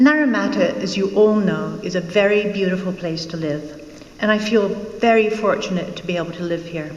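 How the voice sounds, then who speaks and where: A Scottish accent heard with audible room echo and noticeable background noise. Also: woman. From Scotland. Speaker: local election candidate. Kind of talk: campaign speech. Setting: public forum with audience. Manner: formal.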